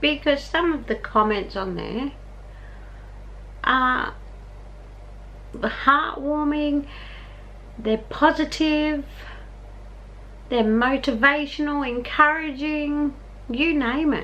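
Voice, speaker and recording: A woman with an Australian accent projects her high, bright, sharp voice at a very slow pace. Her pitch varies in an ordinary way, and she leaves long, frequent pauses. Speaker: vlogger. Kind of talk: casual vlog talk to camera. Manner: chatty, informal. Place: home room. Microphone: phone near.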